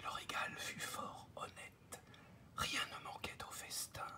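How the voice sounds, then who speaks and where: Whispering in a soothing tone, a man is heard over noticeable background noise. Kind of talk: ASMR fable reading, improvised. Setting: recorded at a desk, home office. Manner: whispered, soothing.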